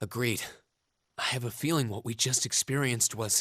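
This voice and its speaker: A man puts on a character voice at a medium pitch, with fairly even intonation and a fairly quick pace. The sound is dry and close, with no echo. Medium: video game.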